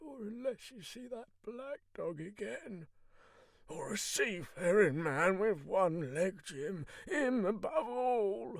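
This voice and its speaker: In a put-on character voice, a man speaks very slowly in a high, raspy pitch, with very wide pitch swings and big swings in loudness. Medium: read story. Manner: rough, salty, desperate.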